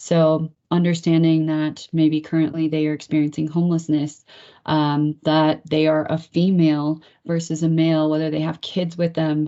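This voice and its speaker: A woman's very deep, low voice, monotone and flat, at a moderate pace. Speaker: nonprofit help center director. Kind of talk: webinar presentation. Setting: video call with screen share. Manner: hesitant, many fillers.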